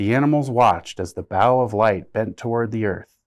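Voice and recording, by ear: Against a quiet background, a speaker is reading aloud in a natural voice, the pitch varying in an ordinary way.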